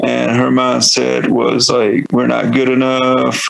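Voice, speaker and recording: A man speaks with a Southern US accent. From North Carolina, US South. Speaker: metal band vocalist. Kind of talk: podcast interview. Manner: casual, filler-heavy.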